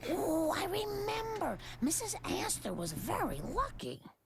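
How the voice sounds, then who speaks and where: This cartoonish character voice sits at an extremely high pitch. It moves along at a fairly slow pace. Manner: earnest, mild.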